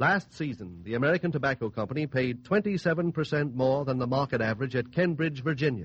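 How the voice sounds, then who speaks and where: A man speaks in a somewhat breathy voice. He keeps a fairly quick pace with hardly any pauses. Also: medium pitch for a man, lively intonation. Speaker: radio announcer. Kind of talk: commercial announcement. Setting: radio studio.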